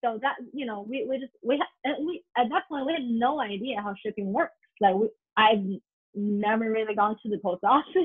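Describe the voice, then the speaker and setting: With a Mandarin accent, a woman speaks at a moderate pace. Her pitch is fairly high and her intonation lively. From northern China, Harbin. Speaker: consumer product company co-founder. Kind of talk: interview. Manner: halting, many fillers.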